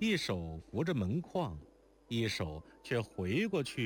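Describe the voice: The clip is plain reading aloud. Nothing more is heard.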